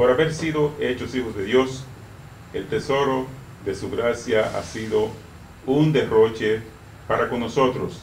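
Speech comes at a fairly slow pace over light background noise. Room echo is audible. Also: man. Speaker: deacon. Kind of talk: blessing prayer. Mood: solemn, calm. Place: hall.

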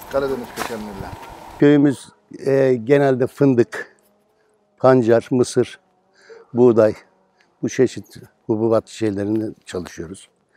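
Long, frequent pauses break up a man's very slow speech, with fairly even intonation and a dry sound with no echo. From Turkey, Sarıdere village; Turkey. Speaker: retired truck driver, farmer. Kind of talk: interview. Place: open country. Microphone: lapel.

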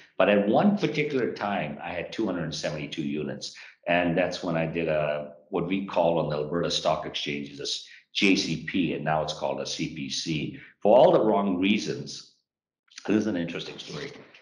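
Audible room echo around speech at a moderate pace. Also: man, very deep, low pitch for a man. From born in Japan, Sikh Punjabi family, Western Canada. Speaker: real estate company founder and CEO; guest. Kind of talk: interview. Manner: animated. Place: office. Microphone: video call.

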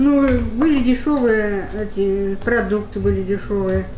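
Audible room echo and light background noise surround the voice. The pitch variation is ordinary. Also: woman. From Russia. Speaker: pensioner. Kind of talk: interview answer. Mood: reflective, emotional memories. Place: kitchen.

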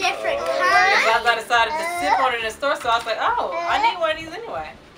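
Over crowd noise in the background, a woman talks at a very fast pace. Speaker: family vlogger mother. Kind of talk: casual vlog chat. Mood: cheerful despite illness. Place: home room. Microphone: camera far.

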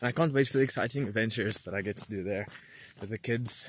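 There is light background noise as a man speaks in a somewhat breathy voice with ordinary pitch variation, the sound dry with no echo. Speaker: vlogger. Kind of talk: casual vlog chat. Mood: cheerful, excited. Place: forest. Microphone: phone near.

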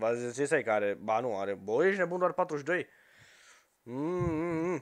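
With very wide pitch swings, a man talks at a very slow pace against a quiet background. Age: 20s. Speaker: gaming youtuber. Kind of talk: casual chat. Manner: animated. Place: home room. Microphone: headset.

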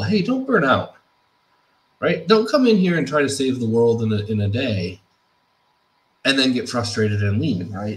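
This man sounds somewhat breathy, speaking at a fairly quick pace with ordinary pitch variation. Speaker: presenter. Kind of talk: lecture. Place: home room. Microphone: webcam.

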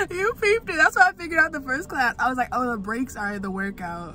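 The raised, projected voice moves at a fairly quick pace over light background noise, the sound dry with no echo. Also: woman. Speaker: vlogger. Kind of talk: casual vlog chat. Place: car. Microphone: phone near.

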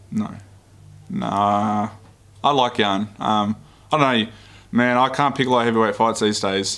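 A man speaks at a moderate pace with ordinary pitch variation and very even loudness, leaving long, frequent pauses. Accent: Australian. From Australia, Melbourne. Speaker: MMA fighter. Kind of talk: pre-fight media interview. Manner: casual, laid-back. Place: meeting room. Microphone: podium.

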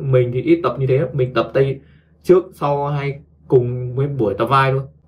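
The speaker is a man. His voice has a medium pitch.

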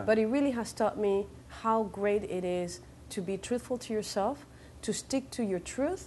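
Light background noise sits behind a woman whose tone is dark and mellow, with ordinary pitch variation. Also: fairly high pitch for a woman, moderate pace. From Venezuela. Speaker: actress and model. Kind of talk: interview answer. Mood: thoughtful, reflective. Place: studio. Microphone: lapel.

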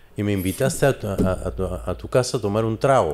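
A man with a plain, everyday voice, fairly low pitch and ordinary pitch variation, at a moderate pace. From Peru, Lima (Barranco). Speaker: interview show host. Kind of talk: casual interview.

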